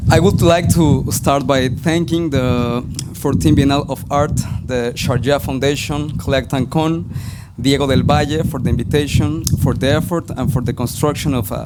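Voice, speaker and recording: A man with a Spanish accent and medium pitch, with ordinary pitch variation, plus music in the background and audible room echo. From Mexico, Mexico City. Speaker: spoken word artist and writer. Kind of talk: conference presentation read aloud. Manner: halting, some stumbles.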